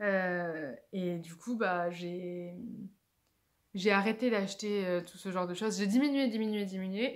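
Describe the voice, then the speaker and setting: A woman talks at a fairly slow pace and a medium pitch, with ordinary pitch variation. Audible room echo surrounds her voice. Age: 20s. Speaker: video blogger. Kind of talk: casual vlog. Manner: halting.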